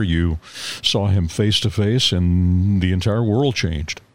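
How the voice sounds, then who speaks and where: Here is a man with a normal speaking voice. His pitch is fairly low, and its variation ordinary. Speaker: podcast host. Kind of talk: interview.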